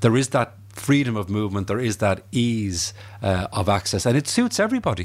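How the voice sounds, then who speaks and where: Speaking with an Irish accent, a man moves at a fairly quick pace. His pitch is medium, with ordinary variation. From Ireland. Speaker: historian. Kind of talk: interview.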